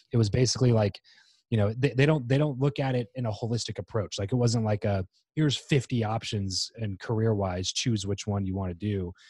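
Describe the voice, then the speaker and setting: Somewhat breathy speech in an American accent, dark, mellow tone, fairly quick pace, ordinary pitch variation, dry, close sound with no echo, very clean recording with a silent background. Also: man, medium pitch for a man. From US, Southern California (northern LA County). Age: 20s. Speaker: podcast host, entrepreneur. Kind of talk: interview conversation. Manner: halting, many fillers and restarts.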